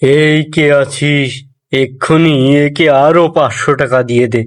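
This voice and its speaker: A man uses a cartoonish character voice. His pitch is fairly high and his pace fairly slow. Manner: commanding, calls servants with "ei ke achhis".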